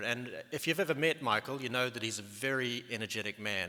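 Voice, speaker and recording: A man with a New Zealand accent speaks fairly quickly at a medium pitch. His tone is bright and sharp, with lively intonation. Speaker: medical research scientist. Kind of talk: conference presentation. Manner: halting, many fillers.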